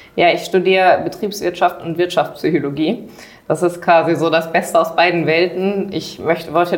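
A woman speaks in a fairly low, flat monotone amid noticeable background noise. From Germany, Düsseldorf area. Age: young. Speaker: trainee and dual student. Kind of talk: interview.

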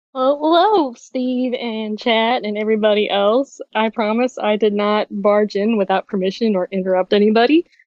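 A woman with a Southern US accent talks with hardly any pauses, her fairly high pitch showing ordinary variation. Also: moderate pace. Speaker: community member. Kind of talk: casual chat. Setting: video call.

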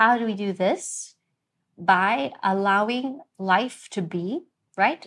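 A woman's medium-pitched voice with ordinary pitch variation, over a quiet background. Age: 30s. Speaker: yoga teacher. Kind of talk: casual interview.

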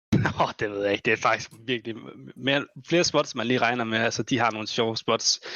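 A plain, everyday voice at a fairly quick pace with fairly even intonation. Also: man, medium pitch for a man. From Denmark, Esbjerg. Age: 20s. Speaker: professional esports player. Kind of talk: casual chat.

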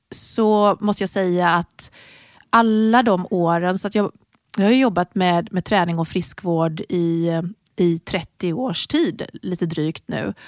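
Heard with a dry, close sound and no echo, a woman speaks at a very slow pace with ordinary pitch variation. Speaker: fitness and health entrepreneur. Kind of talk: interview.

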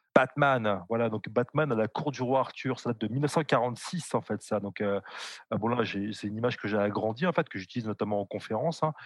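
Against a quiet background, a man of medium pitch speaks at a fairly quick pace with ordinary pitch variation, the sound dry and close with no echo. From France. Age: 40s. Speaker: historian. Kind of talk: interview. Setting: live stream. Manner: halting.

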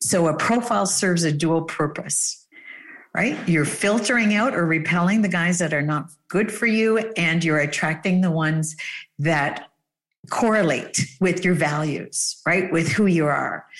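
A woman's fairly low voice with a Canadian accent, an ordinary speaking voice at a fairly slow pace, with ordinary pitch variation and very even loudness. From Canada. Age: 50s. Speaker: dating coach. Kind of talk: casual chat.

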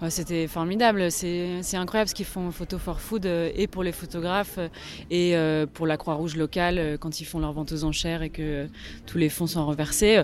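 A woman uses a normal speaking voice, fairly low in pitch, with fairly even intonation. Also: moderate pace. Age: 30s. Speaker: photographer. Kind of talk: interview.

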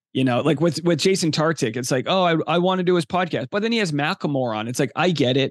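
Energetic in tone and very fast, a man with a fairly high pitch and ordinary pitch variation is heard in a dry, close sound with no echo and a quiet background. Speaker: stand-up comedian and podcast host. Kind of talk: casual interview chat.

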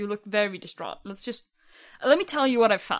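On a very clean recording with a silent background, a woman with a Swedish accent speaks in a fairly high, bright and sharp voice with ordinary pitch variation. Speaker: tabletop game player.

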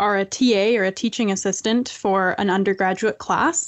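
A woman with a Canadian accent speaks in an unremarkable speaking voice at a medium pitch and a moderate pace. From Canada. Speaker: author and columnist. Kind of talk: interview.

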